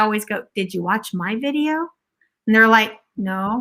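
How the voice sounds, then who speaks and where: A woman projects her voice with a bright, sharp tone. Her pace is moderate. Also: very clean recording, silent background. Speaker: math teacher. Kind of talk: casual chat. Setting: live video stream. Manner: animated.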